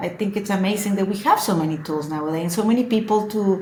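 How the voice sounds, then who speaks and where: In a room with audible echo, a woman with a Spanish accent sounds somewhat breathy and shows ordinary pitch variation. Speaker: social media influencer. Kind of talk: casual chat. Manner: halting.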